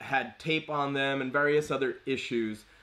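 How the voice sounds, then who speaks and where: A man talks loudly at a very slow pace, his tone bright and sharp, his pitch fairly high and his intonation fairly even. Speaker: comic book collector streamer. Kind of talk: live stream unboxing. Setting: live stream.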